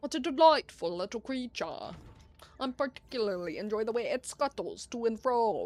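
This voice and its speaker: At a moderate pace, a female-sounding put-on character voice speaks with a high pitch. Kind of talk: formal, pompous. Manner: delighted, theatrical.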